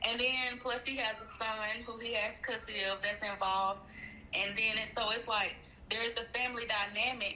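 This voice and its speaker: Monotone, flat delivery from a woman at a moderate pace, with audible room echo. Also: fairly high pitch for a woman. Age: 30s. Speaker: caller seeking relationship advice. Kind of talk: casual chat.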